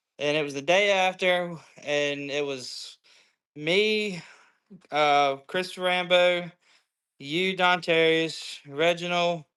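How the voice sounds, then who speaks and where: A man with a Southern US accent, high pitch and a bright, sharp tone, fairly even intonation, a very slow pace with long, frequent pauses, on a very clean recording with a silent background. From US South, Georgia. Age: 20s. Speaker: train conductor. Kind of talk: casual chat.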